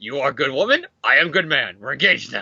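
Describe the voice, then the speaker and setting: In a put-on character voice with a Russian accent, a man rattles off his lines at a very fast pace. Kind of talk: joking, broken grammar.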